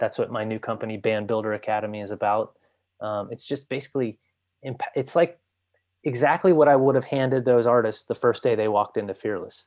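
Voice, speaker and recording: With an American accent, a man speaks in a normal speaking voice at a medium pitch against a quiet background. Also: ordinary pitch variation, fairly quick pace. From US East Coast (Washington DC/Virginia, then Florida). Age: 40s. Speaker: music industry entrepreneur. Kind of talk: interview.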